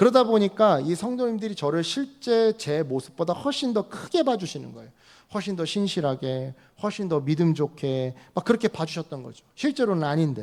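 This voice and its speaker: Animated and high-pitched, a man speaks at a moderate pace, his pitch swinging very widely and his loudness rising and falling sharply. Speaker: pastor. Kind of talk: sermon. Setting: church. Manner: conversational, animated.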